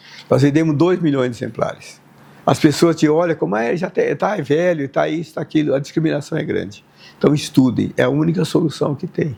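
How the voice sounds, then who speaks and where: Fairly high for a man and fairly quick, his voice has a dark, mellow tone, vocal fry and ordinary pitch variation. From Brazil, Tupã (São Paulo state). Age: 70s. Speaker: mathematics professor. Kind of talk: interview testimony. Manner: halting.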